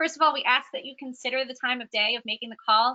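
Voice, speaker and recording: A raised, projected voice with a bright, sharp tone, lively intonation and a very fast pace. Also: woman. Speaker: volunteer trainer. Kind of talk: training presentation. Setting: recorded conference call. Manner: many fillers (um, uh).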